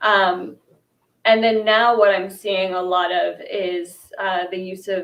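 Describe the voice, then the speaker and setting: A woman speaks at a medium pitch with a New York accent. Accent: American, New York. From US, New York. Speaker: fashion and culture journalist. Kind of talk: panel discussion.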